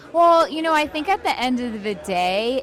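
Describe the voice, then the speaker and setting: A woman's voice amid crowd noise in the background, with audible room echo. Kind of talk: casual interview. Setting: event interview. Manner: stutters, many restarts and fillers; animated.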